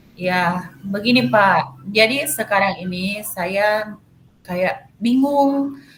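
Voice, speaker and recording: A woman speaks at a very slow pace with lively intonation. Her pitch is medium. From Manado, North Sulawesi, Indonesia. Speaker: math teacher. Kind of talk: coaching session. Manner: hesitant, many fillers.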